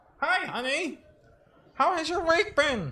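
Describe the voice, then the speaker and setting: This man uses a put-on character voice pitched extremely high. He speaks at a fairly slow pace. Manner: warm, greeting.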